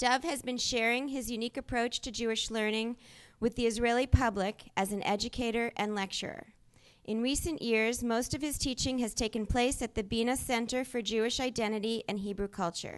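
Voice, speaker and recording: A woman's fairly high, fairly even voice at a fairly quick pace, a plain, everyday voice, against a quiet background. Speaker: event moderator. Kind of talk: reading an introduction. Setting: stage with audience.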